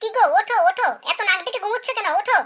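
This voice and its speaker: A woman uses a squeaky, cartoonish character voice at an extremely high pitch. She talks very fast with fairly even intonation. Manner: fussy, nagging.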